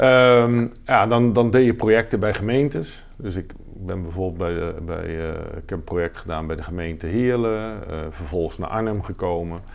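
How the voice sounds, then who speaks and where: A man with a very deep, low pitch and ordinary pitch variation at a moderate pace, hardly any pauses, on a very clean recording with a silent background. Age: 50s. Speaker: business executive. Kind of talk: interview.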